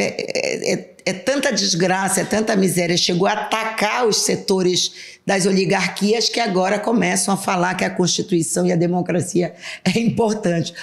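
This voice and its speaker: A woman with a normal speaking voice, medium pitch, fairly even intonation, very even loudness, and a moderate pace. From Brazil, western Pará (Alenquer). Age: 60s. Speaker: politician, state legislator. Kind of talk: interview.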